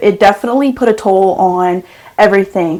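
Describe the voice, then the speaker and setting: A soft-spoken woman talks at a moderate pace with a medium pitch. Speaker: esthetician. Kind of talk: podcast interview answer. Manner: calm.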